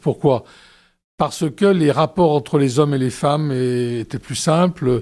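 A man's fairly high, dark and mellow voice with ordinary pitch variation, on a very clean recording against a silent background. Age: 60s. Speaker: demographer and research director. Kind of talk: radio interview. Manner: hesitant, with many fillers.

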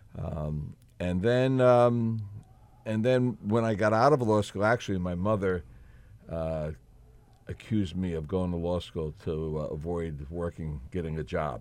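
Speaking with a New Jersey accent, a man with a very deep, low voice talks at a fairly slow pace with lively intonation. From New Jersey, Elizabeth. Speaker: state senator and political candidate. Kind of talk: radio interview. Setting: radio studio.

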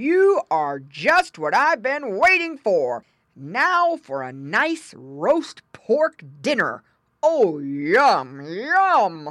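A woman's put-on, growling character voice at a fairly high pitch, with very wide pitch swings and a very slow pace. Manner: growling, menacing.

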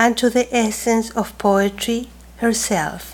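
Very slowly, a woman with a Chilean accent speaks in a fairly high pitch with fairly even intonation. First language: Spanish. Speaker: professor and poet, moderator. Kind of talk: formal introduction and panel discussion. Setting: stage with audience.

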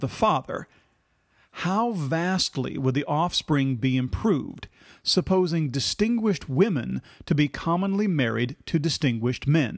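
Over a quiet background, a man with an unremarkable speaking voice talks fairly slowly at a fairly high pitch, his intonation lively. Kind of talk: scripted narration of history, with quoted passages read aloud.

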